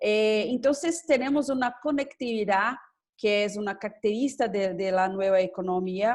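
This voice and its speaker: The woman speaks at a fairly slow pace. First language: Portuguese (speaking Spanish). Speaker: government official and law professor. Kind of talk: conference presentation. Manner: halting, many hesitations.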